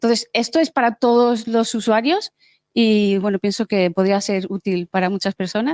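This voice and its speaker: Her loudness swings in big waves as a woman speaks at a moderate pace and medium pitch with ordinary pitch variation. The sound is dry and close with no echo. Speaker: hackathon participant presenting a project. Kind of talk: project demo pitch. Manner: hesitant, with many fillers.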